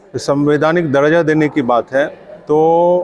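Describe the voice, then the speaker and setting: A man's fairly high voice with ordinary pitch variation, against noticeable background noise. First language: Angika (speaking Hindi). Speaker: writer and language activist. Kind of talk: conference speech. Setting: conference. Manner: hesitant fillers, argumentative.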